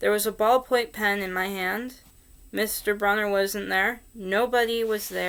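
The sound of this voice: What comes through is an unforced reading voice.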